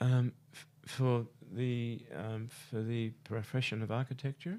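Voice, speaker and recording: At a fairly slow pace, a man with a medium-pitched voice speaks with fairly even intonation but big swings in loudness. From Australia. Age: 70s. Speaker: architect. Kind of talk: radio interview. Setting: studio. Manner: halting.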